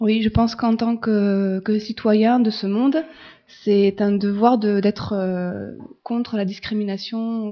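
A woman's fairly high voice at a very slow pace, fairly even in intonation, over noticeable background noise. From France. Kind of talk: interview.

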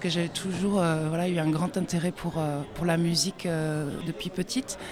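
Through noticeable background noise, a woman with fairly low pitch speaks at a fairly slow pace. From France. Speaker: singer-songwriter. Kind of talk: radio interview. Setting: festival forum radio stand.

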